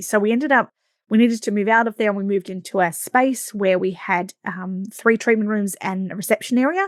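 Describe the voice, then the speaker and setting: A woman's very fast speech with an Australian accent, fairly high in pitch, with ordinary pitch variation, on a very clean recording with a silent background and a dry, close sound with no echo. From Australia, Victoria coast. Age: 40s. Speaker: podcast host, massage business coach. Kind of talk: podcast monologue.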